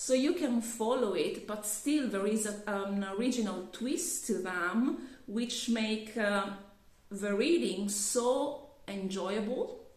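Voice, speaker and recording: Amid noticeable background noise and audible room echo, a woman speaks at a very slow pace. Her pitch is fairly high, with ordinary variation. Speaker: YouTuber. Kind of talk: casual vlog review. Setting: on camera. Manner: halting, many fillers and restarts.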